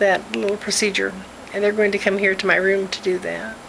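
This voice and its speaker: This woman talks at a moderate pace in a monotone, flat intonation. Light background noise sits behind her. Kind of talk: casual video diary. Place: home room. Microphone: phone near.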